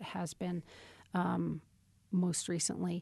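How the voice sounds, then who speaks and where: Against a quiet background, a woman with an American accent talks at a fairly slow pace and fairly low pitch, her somewhat breathy voice dark and mellow in tone with fairly even intonation. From Wyoming, US. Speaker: seminary professor. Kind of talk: interview conversation.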